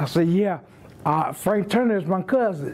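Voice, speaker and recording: Against noticeable background noise, someone talks at a fairly slow pace. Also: man. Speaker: keynote speaker and author. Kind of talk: keynote speech. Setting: guild meeting with audience. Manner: halting, repeats words.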